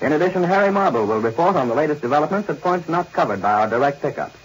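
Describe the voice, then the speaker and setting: A man's fairly high voice at a very fast pace with lively intonation, over noticeable background noise. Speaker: radio news announcer. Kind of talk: 1940s radio news broadcast announcement. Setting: old radio broadcast recording.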